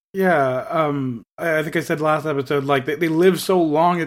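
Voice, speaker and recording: A man with a normal speaking voice talks at a fairly quick pace, his fairly high pitch carrying fairly even intonation. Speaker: podcast host. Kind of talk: casual chat.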